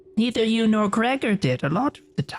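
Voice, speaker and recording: At a fairly quick pace, the speaker puts on a character voice with a fairly high pitch. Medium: actual play. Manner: cackling, theatrical.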